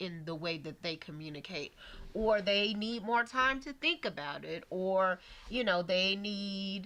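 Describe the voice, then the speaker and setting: Loud and fairly slow, a woman speaks at a medium pitch with very wide pitch swings and a bright, sharp tone. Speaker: podcast co-host. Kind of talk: casual chat. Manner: animated.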